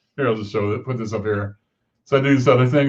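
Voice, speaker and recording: Somewhat breathy, a man's voice rises and falls in an ordinary way. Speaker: interview show host. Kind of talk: casual interview chat.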